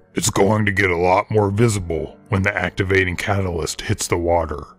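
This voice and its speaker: A man's put-on character voice, very deep, low and gravelly, at a fairly quick pace. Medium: read story. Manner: terse, authoritative.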